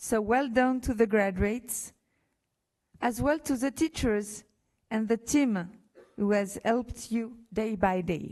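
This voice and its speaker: Marked by long, frequent pauses, this voice speaks in a French accent at a fairly slow pace with ordinary pitch variation. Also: woman, fairly high pitch for a woman. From France. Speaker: university official. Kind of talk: commencement speech. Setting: graduation ceremony hall with audience. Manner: halting, with fillers.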